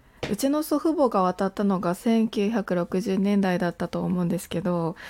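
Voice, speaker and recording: A woman talks at a moderate pace with a dark, mellow tone and medium pitch. The recording is very clean, with a silent background. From Japan. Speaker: podcaster. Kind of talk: casual monologue.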